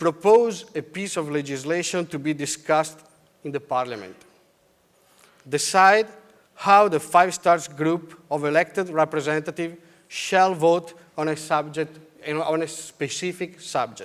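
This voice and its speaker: With an Italian accent, a man speaks at a moderate pace and a fairly high pitch. His pitch variation is ordinary. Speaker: politician. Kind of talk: conference speech. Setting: stage with audience.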